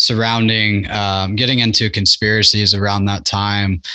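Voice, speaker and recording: Talking at a fairly slow pace, a man with an American accent has a fairly low pitch and a bright, sharp tone against a quiet background. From Nebraska. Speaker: podcast host. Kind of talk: casual chat.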